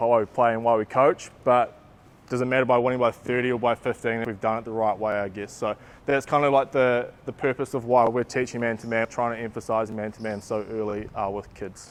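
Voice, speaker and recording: Delivered at a fairly quick pace in a New Zealand accent, the voice stays monotone and flat while its loudness swings widely. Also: man, medium pitch for a man. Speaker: basketball coach developer. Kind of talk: coaching clinic talk. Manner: casual, many fillers.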